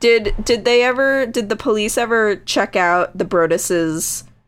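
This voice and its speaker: Using an unremarkable speaking voice, a woman with an American accent talks at a fairly slow pace with medium pitch and lively intonation. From Connecticut. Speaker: podcast co-host. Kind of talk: casual chat.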